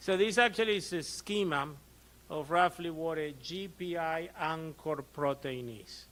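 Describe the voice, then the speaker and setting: With an Argentine accent, a man speaks at a high pitch with ordinary pitch variation. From Argentina. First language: Spanish. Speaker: physician. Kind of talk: lecture. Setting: conference presentation with audience. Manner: conversational, frequent 'okay' check-ins.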